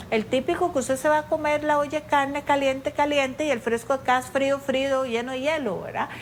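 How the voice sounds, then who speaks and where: A woman with a high pitch talks at a fairly quick pace with a Costa Rican accent. She leaves hardly any pauses. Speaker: ENT doctor. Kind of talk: interview answering viewer questions.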